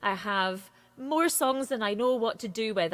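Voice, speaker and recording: A woman's fairly high voice with lively intonation. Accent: Scottish. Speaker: singer-songwriter. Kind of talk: interview. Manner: fast.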